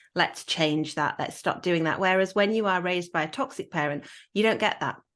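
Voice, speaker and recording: Speaking fairly quickly against a quiet background, a woman uses a medium pitch with a Yorkshire accent. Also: ordinary pitch variation. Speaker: podcast host. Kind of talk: casual chat.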